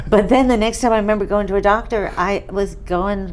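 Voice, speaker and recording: With an American accent, a woman speaks at medium pitch and a moderate pace amid audible room echo. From New York, Catskill Mountains. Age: 70s. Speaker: patient. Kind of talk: testimony. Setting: interview on camera.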